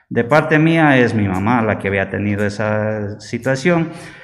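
A man is speaking in a room with audible echo. Music plays in the background. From Ecuador, Bolívar province. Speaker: leprosy patient. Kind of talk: testimony.

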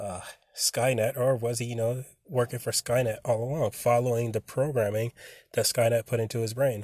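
A man speaks at a moderate pace in a monotone, flat intonation, somewhat breathy, with a dry, close sound with no echo on a very clean recording with a silent background. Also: medium pitch for a man. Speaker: podcast host. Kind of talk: solo casual monologue. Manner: halting, many fillers.

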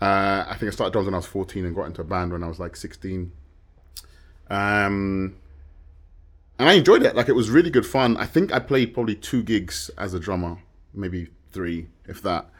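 A fairly low-pitched man in a southern English accent, at a fairly quick pace with long, frequent pauses and ordinary pitch variation, on a very clean recording with a silent background. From London outskirts, England. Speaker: musician and videographer. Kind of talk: casual chat.

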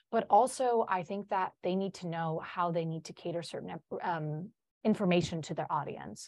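Her pitch fairly low and its variation ordinary, a woman speaks at a moderate speed. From Chicago, US Midwest. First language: Polish. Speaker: college senior, future social studies teacher. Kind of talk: casual interview chat.

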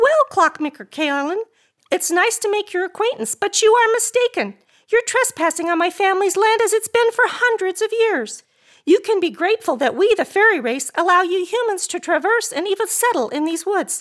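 An extremely high, squeaky put-on character voice comes through. It moves at a moderate pace. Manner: haughty, condescending.

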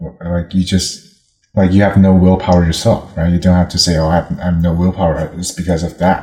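Monotone, flat intonation at a fairly quick pace. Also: man, very deep, low pitch for a man. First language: not English. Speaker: language practice partner. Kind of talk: casual chat. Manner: fast talker.

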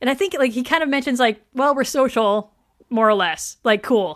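With ordinary pitch variation, a woman with a high pitch speaks on a very clean recording with a silent background. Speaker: podcast host. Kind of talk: casual chat. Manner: fast.

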